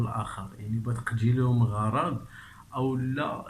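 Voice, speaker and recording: With a Moroccan accent, a man speaks at medium pitch, fairly slowly and with fairly even intonation. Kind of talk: casual commentary on a documentary clip.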